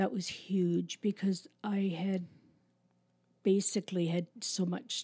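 Speaking very slowly with long, frequent pauses, a woman with a Canadian accent has a medium pitch, a dark, mellow tone, a somewhat breathy quality, and fairly even intonation, recorded dry and close with no echo on a very clean track with a silent background. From Canada, Toronto suburbs. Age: 60s. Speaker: administrative assistant at a youth ministry. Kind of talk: interview, personal testimony.

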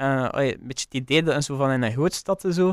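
In a very clean recording with a silent background and a dry, close sound with no echo, a man with an unremarkable speaking voice talks at a fairly high pitch and a fairly quick pace. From West Flanders, Belgium (Wervik). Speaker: chef. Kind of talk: casual interview.

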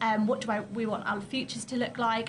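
This woman's pitch is fairly high. She keeps a moderate pace. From Essex, England. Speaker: in-house lawyer, network vice-president. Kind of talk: interview.

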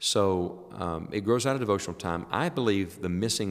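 A man speaks with a very deep, low pitch. His moderate pace comes through in a very clean recording with a silent background. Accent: Appalachian. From US South, southern West Virginia. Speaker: evangelist preacher. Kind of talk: casual interview. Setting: quiet room at a summer camp.

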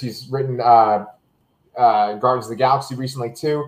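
With a plain, everyday voice, a man of medium pitch talks at a moderate pace with fairly even intonation. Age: 30s. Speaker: podcast host, Marvel show reviewer. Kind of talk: casual chat. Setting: video call from his kitchen.

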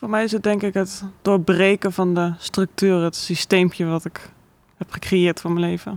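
A woman at a moderate pace in monotone, flat intonation, with a dry, close sound with no echo. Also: medium pitch for a woman. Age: 20s. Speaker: artist and filmmaker. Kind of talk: casual chat.

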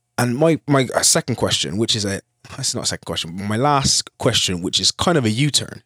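Lively in intonation and fairly quick, a man with a plain, everyday voice speaks at a medium pitch, his dry, close sound having no echo on a very clean recording with a silent background. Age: 30s. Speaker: podcast co-host. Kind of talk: casual chat.

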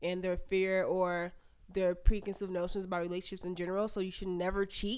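On a very clean recording with a silent background, a woman talks fairly quickly at medium pitch in a plain, everyday voice. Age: 20s. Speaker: podcast co-host. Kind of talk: casual chat.

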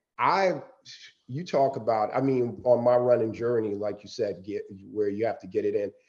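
A man of medium pitch has an unremarkable speaking voice, with ordinary pitch variation and a moderate pace. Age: 50s. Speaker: marathon runner. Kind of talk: casual chat.

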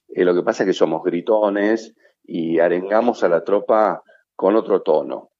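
A man speaks at a fairly slow pace, his loudness very even throughout. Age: 50s. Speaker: sales executive. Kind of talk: interview. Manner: halting.

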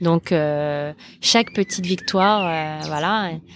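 Fairly low-pitched female voice with ordinary pitch variation and noticeable background noise. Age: 20s. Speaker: app co-founder. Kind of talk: casual interview. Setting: outdoor terrace at home. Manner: hesitant, many fillers.

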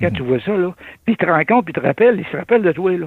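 The speaker uses lively intonation with a Québécois accent. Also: man. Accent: rural Québécois French. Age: old. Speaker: retired trucker, community volunteer. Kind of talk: radio interview.

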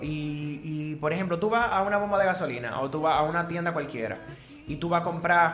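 Talking very fast at a high pitch for a man, a man is heard amid noticeable background noise and audible room echo. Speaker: singer and music therapist. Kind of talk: casual chat.

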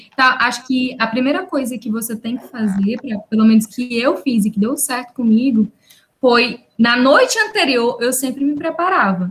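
A woman with a high pitch and ordinary pitch variation speaks at a moderate pace. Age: 20s. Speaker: civil engineering student. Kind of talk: casual chat.

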